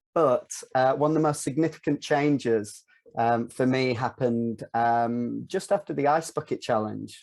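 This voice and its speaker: With very even loudness, a man speaks at medium pitch and a moderate pace, his pitch varying in an ordinary way. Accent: Northern English. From North of England. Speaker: filmmaker and virtual reality producer. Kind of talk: podcast interview answer.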